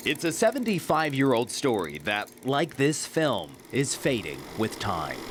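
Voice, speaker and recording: The speech moves at a fairly slow pace with hardly any pauses and very wide pitch swings. Noticeable background noise is present. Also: man, medium pitch for a man. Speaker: TV news reporter. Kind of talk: TV news narration.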